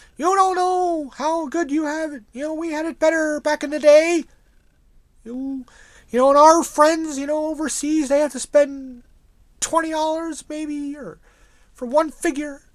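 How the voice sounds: At a moderate pace, a woman puts on a high-pitched character voice.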